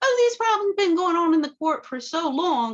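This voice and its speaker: This is a put-on character voice with an extremely high pitch. It moves at a fairly quick pace. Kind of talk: posh, refined.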